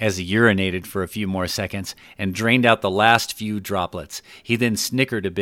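Intonation remains fairly even. It is an unforced reading voice.

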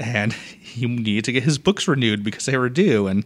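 A man speaks fairly quickly in an unremarkable speaking voice, his intonation lively. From Boston, Massachusetts. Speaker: library circulation head. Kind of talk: casual interview. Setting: podcast studio.

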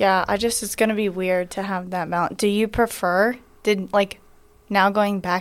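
At a moderate pace, a woman speaks with fairly even intonation and a medium pitch. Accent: American. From US South, Georgia. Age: 20s. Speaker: college athlete. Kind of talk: casual interview.

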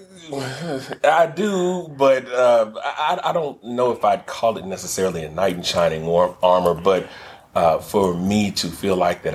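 A man with an American accent at a fairly slow pace, his pitch in very wide swings, over noticeable background noise. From Texas, Dallas. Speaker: chef and caterer. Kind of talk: casual chat.

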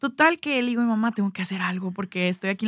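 Here a woman speaks at a very fast pace, sounding somewhat breathy. The recording is very clean, with a silent background. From Mexico, Sonora (Hermosillo). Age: 30s. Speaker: pastry business founder. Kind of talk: casual interview. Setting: radio studio.

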